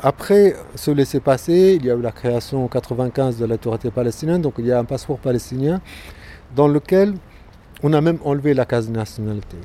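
A man speaks at a fairly quick pace with fairly high pitch and ordinary pitch variation. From Gaza, Palestine. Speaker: visual artist. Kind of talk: interview. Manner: halting, many repetitions.

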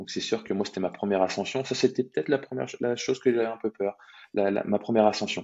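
A man talks at a very fast pace and medium pitch with fairly even intonation. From Brittany, France. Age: 20s. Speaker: fitness coach and amateur triathlete. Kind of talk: interview storytelling. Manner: hesitant, many repetitions.

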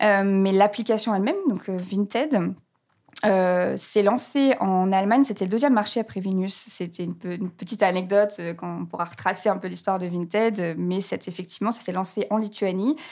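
Female speech with ordinary pitch variation, delivered at a moderate pace. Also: medium pitch for a woman. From France, Reims. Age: 30s. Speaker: communications manager at an online resale company. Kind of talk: podcast interview. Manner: hesitant, many fillers.

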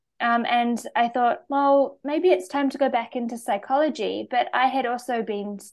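Speaking in a New Zealand accent, a woman talks at a high pitch with ordinary pitch variation and hardly any pauses, over a quiet background. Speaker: naturopath and medical herbalist. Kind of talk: interview conversation.

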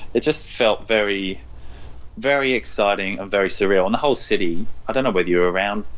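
Lively intonation from a fairly low-pitched man with an English accent, at a very fast pace. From England, London. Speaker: personal trainer and cookbook author. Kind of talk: casual interview chat.

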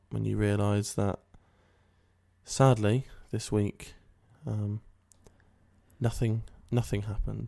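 Using a dark, mellow tone, a man with a British accent talks very slowly at a fairly low pitch, with monotone, flat intonation and long, frequent pauses. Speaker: comedy podcast co-host. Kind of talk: improvised comedy chat.

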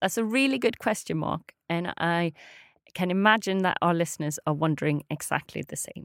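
On a very clean recording with a silent background, a woman with a Swedish accent and fairly low pitch speaks at a moderate pace with lively intonation. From Sweden. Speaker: language teacher. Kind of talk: language lesson.

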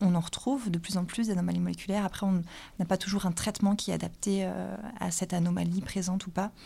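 Somewhat breathy and dark, mellow in tone, a woman speaks at a fairly low pitch and a fairly quick pace. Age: 20s. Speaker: oncology resident doctor. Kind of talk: medical consultation.

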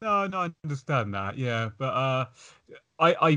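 A man with a British accent is heard over a quiet background. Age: 30s. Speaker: podcast host. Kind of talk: casual chat.

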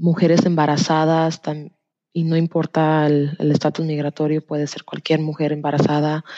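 A woman talks in a very deep, low pitch. Her intonation stays monotone and flat. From Tennessee, US (born in Jalisco, Mexico). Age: 20s. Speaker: health insurance enrollment counselor. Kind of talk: interview. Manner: hesitant, many fillers.

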